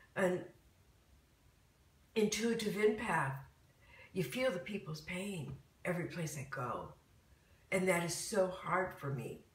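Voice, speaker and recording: A woman with an American accent at medium pitch, lively in intonation, fairly slow, with long, frequent pauses and audible room echo. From Michigan. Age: 60s. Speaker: spiritual talk host. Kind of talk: live stream casual talk. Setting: live video stream at home.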